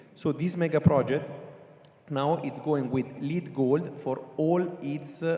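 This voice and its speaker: Audible room echo and noticeable background noise surround a man with an American accent. His pitch is fairly high with ordinary variation, and his pace is fairly slow. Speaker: sustainability consultant. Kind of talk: panel discussion. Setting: stage with audience.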